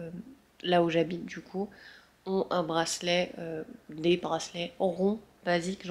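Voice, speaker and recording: Her pace is very slow and her intonation monotone and flat. This woman speaks at a fairly low pitch. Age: 20s. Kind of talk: casual vlog. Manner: hesitant, many fillers.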